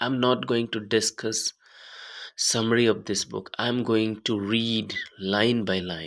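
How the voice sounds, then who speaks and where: Speaking in an Indian accent, a man keeps his intonation fairly even. His pace is very slow. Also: medium pitch for a man, very clean recording, silent background. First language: Hindi. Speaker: YouTuber reading books aloud. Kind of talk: casual introduction before reading aloud. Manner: halting.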